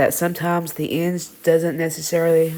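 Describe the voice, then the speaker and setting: A woman with a Southern US accent speaks at a moderate pace in a fairly low pitch, her tone dark and mellow. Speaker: TV review vlogger. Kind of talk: casual review monologue. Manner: halting, self-correcting.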